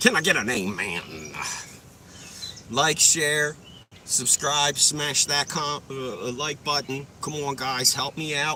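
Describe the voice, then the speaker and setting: A man's medium-pitched voice at a fairly slow pace, with ordinary pitch variation over noticeable background noise. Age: 40s. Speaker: live streamer. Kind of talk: casual live stream chat. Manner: casual, profane.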